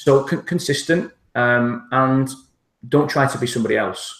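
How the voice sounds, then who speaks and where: A man with a strong northern English accent speaks with ordinary pitch variation. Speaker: internet marketer. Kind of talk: interview.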